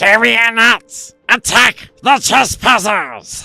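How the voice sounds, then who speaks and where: In a put-on character voice, a man speaks at a very slow pace and an extremely high pitch. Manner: shrieking.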